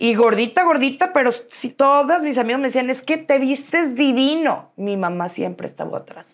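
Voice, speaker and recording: Against a quiet background, a woman talks at a high pitch with lively intonation. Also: moderate pace, hardly any pauses. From Mexico City. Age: 40s. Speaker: businesswoman; interview guest. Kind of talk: interview. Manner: animated. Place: studio. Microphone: lapel.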